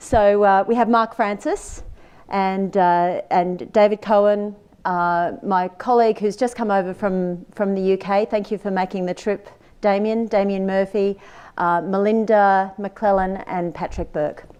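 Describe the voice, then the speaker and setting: Speaking at a fairly slow pace with fairly even intonation, a woman with an Australian accent is heard against a quiet background. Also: medium pitch for a woman. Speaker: company CEO and panel moderator. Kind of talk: conference panel moderation. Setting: stage with audience at conference.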